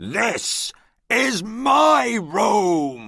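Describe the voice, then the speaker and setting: A man puts on a growling character voice, pitched fairly high for a man. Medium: read story. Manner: commanding.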